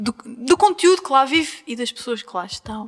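Pitch swings very widely at a moderate pace. Noticeable background noise is present. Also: woman. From Azores. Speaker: podcast host. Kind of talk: casual interview. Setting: shop in Angra do Heroísmo, Azores.

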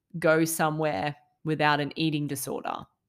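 A woman with a very deep, low pitch and an Australian accent, at a fairly slow pace, in a very clean recording over a silent background. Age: 30s. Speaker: mental health podcaster. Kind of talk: casual monologue. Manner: hesitant with fillers.

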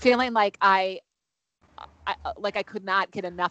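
A woman with an American accent speaks in a plain, everyday voice, her pitch moving in an ordinary way. The sound is dry and close with no echo, over a quiet background. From Wisconsin, US Midwest. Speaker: mom mentor, life coach. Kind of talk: interview conversation.

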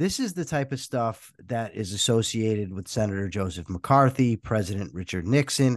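With a quiet background, a man speaks at a moderate pace with hardly any pauses. He has an unremarkable speaking voice, medium pitch and lively intonation. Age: 40s. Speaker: podcast host. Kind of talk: interview.

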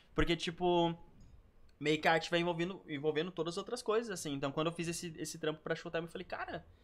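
At a very fast pace, a man talks with a high pitch and fairly even intonation. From Canoas, Porto Alegre area, southern Brazil. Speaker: professional dancer and dance teacher. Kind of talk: casual chat.

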